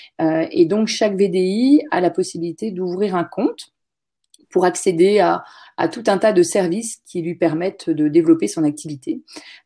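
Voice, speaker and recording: The recording is very clean, with a silent background. A woman with a dark, mellow tone and medium pitch speaks at a fairly slow pace with ordinary pitch variation. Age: 40s. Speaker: website founder. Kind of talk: interview.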